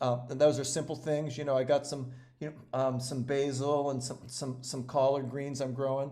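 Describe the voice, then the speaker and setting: With a dark, mellow tone and a flat, monotone delivery, a man speaks at a fairly high pitch in a room with audible echo. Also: moderate pace. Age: 60s. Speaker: organic food company founder and regenerative farming advocate. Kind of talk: interview. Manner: halting, many repetitions and fillers.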